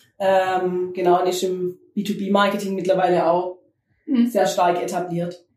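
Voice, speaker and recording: Very slowly, a woman speaks in a medium pitch with a monotone, flat intonation. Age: 30s. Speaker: podcast host. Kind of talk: casual interview chat.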